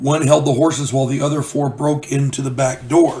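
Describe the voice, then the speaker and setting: Fairly quick in pace, the speech has a somewhat breathy sound. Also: man. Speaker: YouTuber and author telling gaming stories. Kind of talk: casual storytelling.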